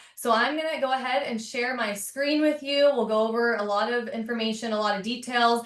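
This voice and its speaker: Noticeable background noise sits behind a woman speaking at a fairly high pitch with ordinary pitch variation. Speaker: real estate agent. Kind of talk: webinar training. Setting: video call with screen share. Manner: fast.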